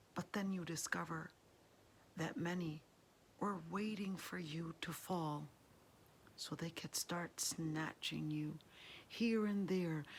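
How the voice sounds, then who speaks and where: Somewhat breathy and warm, gentle in tone, a woman speaks at a very slow pace with fairly even intonation and long, frequent pauses. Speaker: Islamic studies scholar and lecturer. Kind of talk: Islamic lecture, encouraging talk to camera. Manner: warm, gentle, soft-spoken.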